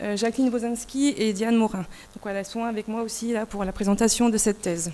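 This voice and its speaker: With fairly even intonation, a woman speaks at a fairly quick pace in a fairly high pitch. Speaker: nurse researcher. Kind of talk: conference presentation.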